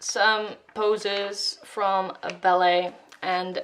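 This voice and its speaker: Over noticeable background noise, a woman talks at a medium pitch. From Netherlands. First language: Dutch. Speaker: art YouTuber. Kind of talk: voiceover sketchbook tour. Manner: hesitant, many fillers.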